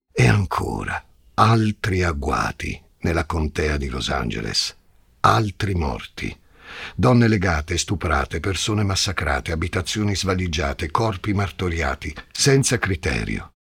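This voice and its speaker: His voice is very deep and low, with vocal fry and very wide pitch swings. The man talks at a fairly slow pace. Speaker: podcast host narrator. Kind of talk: true-crime narration, scripted and dramatic. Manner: tense, suspenseful, measured storytelling.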